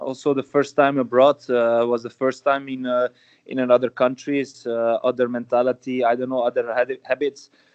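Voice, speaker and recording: A man speaks at a moderate pace and medium pitch. His intonation is monotone and flat. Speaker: footballer. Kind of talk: interview.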